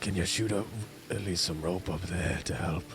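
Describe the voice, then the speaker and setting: A man uses a put-on character voice with a very deep, low pitch. He speaks at a moderate pace over loud background noise. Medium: actual play. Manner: direct, commanding.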